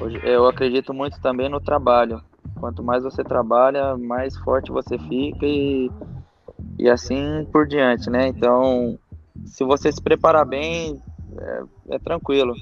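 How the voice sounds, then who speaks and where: Over music in the background, a man with a medium-pitched voice talks at a fairly slow pace with lively intonation. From Brazil, Minas Gerais (Monte Sião). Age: 20s. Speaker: professional footballer. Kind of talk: casual interview. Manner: halting, many repetitions and fillers.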